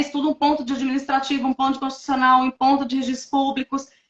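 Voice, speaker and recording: A woman speaks in a high voice. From Minas Gerais, Brazil. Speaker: notary registrar, former lawyer. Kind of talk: interview testimony. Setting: online live stream.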